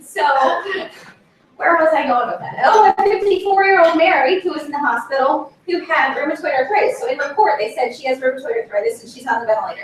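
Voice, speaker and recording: The speaker talks at a very fast pace with an American accent, with very wide pitch swings. Loudness swings widely over noticeable background noise. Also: woman, high pitch for a woman. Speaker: rheumatology nurse practitioner. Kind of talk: presentation to audience.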